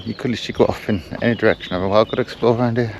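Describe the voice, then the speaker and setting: Noticeable background noise sits behind a man's voice. He talks very fast with fairly even intonation. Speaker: travel vlogger. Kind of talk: casual vlog narration. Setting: outdoors.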